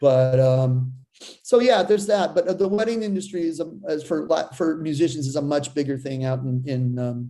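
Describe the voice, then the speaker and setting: The man's voice sits fairly high in pitch and has a dark, mellow tone. He speaks at a moderate pace. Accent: slight Boston. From Seattle, US. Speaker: drummer. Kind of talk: casual chat.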